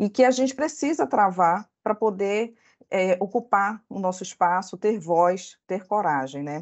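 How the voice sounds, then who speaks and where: In a Belém accent, a woman speaks at a medium pitch and a fairly slow pace. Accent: Belém (Pará). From northern Brazil, Belém. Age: 40s. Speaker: corporate lawyer. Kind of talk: presentation. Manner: halting.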